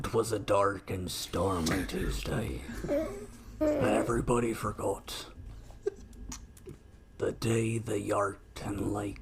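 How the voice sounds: In a put-on character voice, the speaker goes at a fairly slow pace with long, frequent pauses against clear background noise. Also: man, fairly low pitch for a man.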